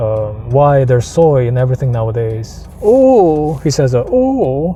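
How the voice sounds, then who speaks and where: A man with a medium pitch speaks at a fairly slow pace in an animated tone with ordinary pitch variation. Noticeable background noise runs behind him. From Philippines. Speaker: vlogger. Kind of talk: casual rant monologue. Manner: animated, repetitive restarts.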